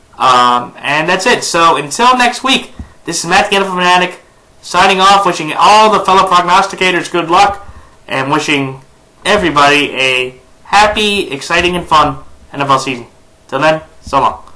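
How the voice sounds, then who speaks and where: Amid noticeable background noise and audible room echo, a man speaks at a moderate pace in a high pitch with lively intonation. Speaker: NFL YouTuber. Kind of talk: sports predictions vlog. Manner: hesitant, many fillers.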